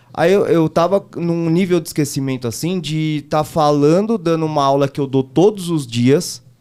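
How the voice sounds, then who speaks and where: Here a man with a dark, mellow tone speaks at a fairly high pitch with ordinary pitch variation. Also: moderate pace, hardly any pauses. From São Paulo state, Brazil (Taboão da Serra). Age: 30s. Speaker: driving instructor and political candidate. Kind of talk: casual chat.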